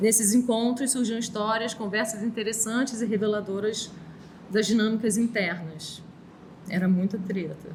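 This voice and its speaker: A soft-spoken woman with a fairly high pitch talks at a moderate pace with fairly even intonation. Audible room echo and noticeable background noise are present. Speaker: artist. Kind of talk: talk reading from text.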